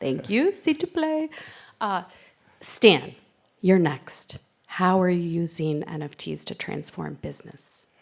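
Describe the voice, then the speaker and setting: A woman speaks at a very slow pace, leaving long, frequent pauses. Her loudness swings widely, and the recording is very clean with a silent background. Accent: New York. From US, New York. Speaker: panel moderator. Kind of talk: panel discussion.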